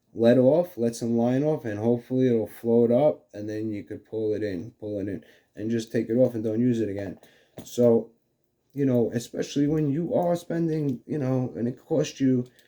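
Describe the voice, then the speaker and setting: On a very clean recording with a silent background, a man with a New York accent speaks at medium pitch in a dark, mellow tone with ordinary pitch variation. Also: moderate pace. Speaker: fishing video host. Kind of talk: casual tutorial. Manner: halting, many fillers.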